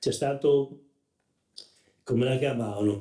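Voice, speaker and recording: Dark, mellow male tone, pitch varying in an ordinary way. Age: 70s. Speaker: wooden mould maker, craftsman. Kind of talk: interview. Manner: halting, with false starts.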